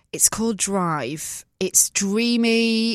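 A woman speaks with a northern English accent. The sound is dry and close, with no echo. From northern England. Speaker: podcast host. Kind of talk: casual chat.

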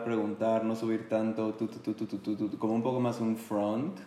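The room echo is audible as a man talks in a mid-range pitch. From Mexico City. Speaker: podcast co-host. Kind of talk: casual chat.

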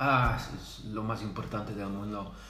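A man with a Dutch accent at a fairly slow pace, with audible room echo. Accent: Dutch accent in Spanish, Spain-learned. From Netherlands. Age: 30s. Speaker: salesperson. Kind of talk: casual chat. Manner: halting, many fillers.

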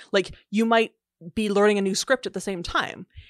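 A woman with a Canadian accent speaks with monotone, flat intonation in a dry, close sound with no echo and a quiet background. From Canada. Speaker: linguist and author. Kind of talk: casual interview. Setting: video call.

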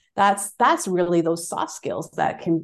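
A woman's fairly low-pitched voice with vocal fry, fairly even intonation and a moderate pace. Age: 40s. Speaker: fitness educator. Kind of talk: casual chat.

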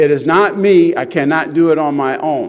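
A man speaks fairly slowly in a fairly high-pitched voice. Noticeable background noise runs behind him. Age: 60s. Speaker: lay preacher. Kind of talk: sermon. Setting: church.

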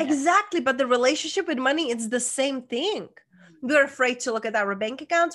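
A woman with a Czech accent speaks high-pitched at a fairly quick pace. Her intonation is lively and her tone animated, with a quiet background. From Czech Republic. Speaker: life coach. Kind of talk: interview.

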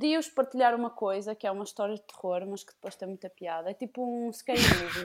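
Here a woman with an unremarkable speaking voice talks at a fairly high pitch and a fairly quick pace, with hardly any pauses. Her pitch variation is ordinary, while her loudness swings widely. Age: 20s. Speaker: podcast guest. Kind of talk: casual chat.

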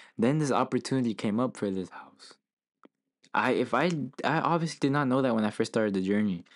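On a very clean recording with a silent background, a man uses a plain, everyday voice at medium pitch with ordinary pitch variation. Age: 20s. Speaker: podcast co-host. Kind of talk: casual chat.

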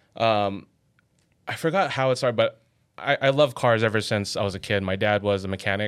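The recording is very clean, with a silent background, as a man talks at a medium pitch and varies it in an ordinary way. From Los Angeles, California. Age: 30s. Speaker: automotive photographer. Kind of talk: casual chat. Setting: studio.

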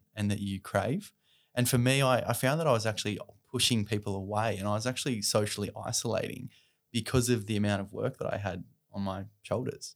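A man with an Australian accent and a medium pitch talks at a fairly quick pace. The recording is very clean, with a silent background. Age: 30s. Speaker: charity founder and mental health advocate. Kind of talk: podcast interview.

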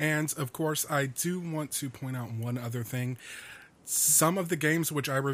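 A man speaks in a plain, everyday voice at a medium pitch. His intonation is fairly even, and his pace is moderate. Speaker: podcast engineer and co-host. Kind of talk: casual chat. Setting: studio.

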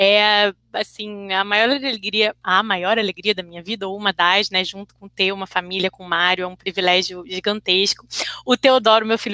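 This woman has a medium pitch and a bright, sharp tone, speaking at a moderate pace. Her recording is dry and close, with no echo. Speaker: interpreter and translator. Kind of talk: casual chat.

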